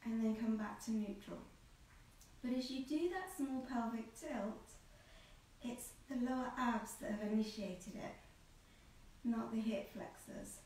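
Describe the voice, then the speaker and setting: A woman speaks at a fairly slow pace amid light background noise and strong room echo. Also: ordinary pitch variation. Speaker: Pilates instructor. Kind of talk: tutorial. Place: home room. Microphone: camera far.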